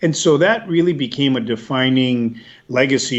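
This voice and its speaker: A man at medium pitch and a moderate pace. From US, raised partly in El Salvador then US. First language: Spanish. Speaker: policy executive, former government official. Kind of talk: interview.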